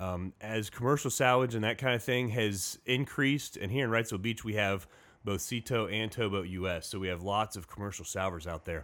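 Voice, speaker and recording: A man's plain, everyday voice with an American accent, fairly low in pitch with ordinary pitch variation, at a fairly quick pace. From US Midwest, Indiana. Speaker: Coast Guard station commander. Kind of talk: casual interview. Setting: studio.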